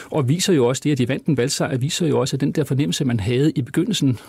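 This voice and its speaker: With vocal fry and a dark, mellow tone, the voice shows ordinary pitch variation. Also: man. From Copenhagen, Denmark. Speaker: law professor. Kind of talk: interview conversation.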